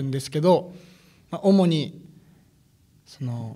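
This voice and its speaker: A man's dark, mellow tone comes through at a moderate speed. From Akita City. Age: 19. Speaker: new office employee. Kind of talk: interview.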